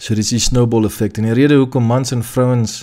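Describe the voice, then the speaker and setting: This man's voice has a dark, mellow tone at a medium pitch. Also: quiet background. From South Africa. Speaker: online preacher; church pastor. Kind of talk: sermon. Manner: halting. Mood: earnest, calm. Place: home room. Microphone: webcam.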